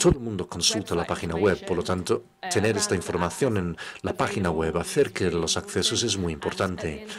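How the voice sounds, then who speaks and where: At a fairly quick pace, a man speaks with a very deep, low pitch and ordinary pitch variation. There is noticeable background noise. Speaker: interpreter voicing the workshop leader. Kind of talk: interpreted workshop presentation. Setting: stage with audience.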